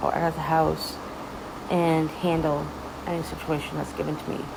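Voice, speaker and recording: Over noticeable background noise and audible room echo, a woman with a very deep, low pitch speaks at a moderate pace. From Ontario, Canada. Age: 30s. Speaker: social media creator. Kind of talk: casual personal talk to camera. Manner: hesitant, many fillers.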